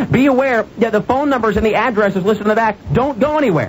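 A man talks very fast, with light noise in the background. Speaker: radio show host. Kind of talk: radio talk show monologue. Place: studio. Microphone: studio mic.

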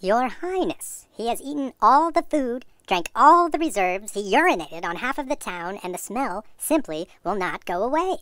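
A woman's high voice at a moderate pace, with very wide pitch swings, on a very clean recording with a silent background. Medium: machinima. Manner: exasperated, urgent.

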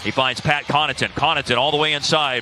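An energetic man with a fairly high pitch, dry sound with no echo, and noticeable background noise. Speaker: basketball play-by-play announcer. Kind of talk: live commentary. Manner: rapid-fire play-by-play, clipped and energetic; excitable on big shots, with bursts of emphasis.

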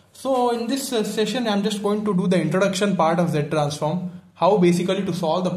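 Amid audible room echo, a man with a high pitch talks at a fairly quick pace with ordinary pitch variation. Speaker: teacher explaining notes. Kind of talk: lecture. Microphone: phone near.

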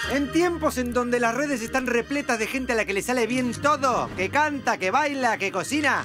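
Over music in the background, a man with a Rioplatense accent uses a raised, projected voice at an extremely high pitch and a moderate pace. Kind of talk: TV commercial read.

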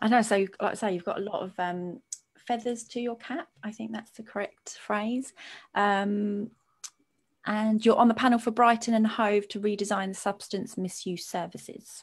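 A woman speaks at a moderate pace, somewhat breathy and fairly high in pitch. Her intonation stays fairly even while her loudness swings widely. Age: 30s. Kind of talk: live-streamed interview discussion.

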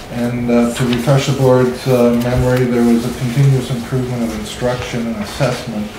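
A man speaks at a medium pitch in a monotone, flat intonation, with noticeable background noise and audible room echo. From Canada. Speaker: school superintendent. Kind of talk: presentation. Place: meeting room.

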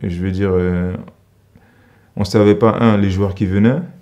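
A man with a fairly low pitch and a dark, mellow tone speaks at a moderate pace with fairly even intonation against a quiet background. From Central African Republic. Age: 20s. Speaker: professional basketball player. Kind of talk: interview. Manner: halting. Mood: critical, earnest. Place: studio.

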